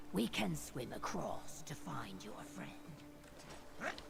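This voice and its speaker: A put-on character voice whispers at a very slow pace over loud background noise. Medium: video game. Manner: formal, measured.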